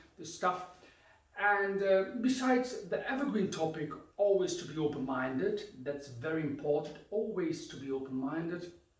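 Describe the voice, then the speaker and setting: A man's high voice with a German accent, lively intonation, big swings in loudness and a moderate pace, amid audible room echo and noticeable background noise. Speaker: karate instructor. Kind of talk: instructional talk.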